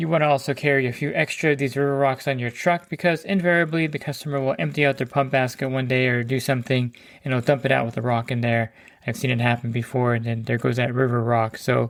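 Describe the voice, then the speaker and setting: A man talks at a very fast pace, medium in pitch, with fairly even intonation. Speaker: pool service professional. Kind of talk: tutorial. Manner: casual, conversational.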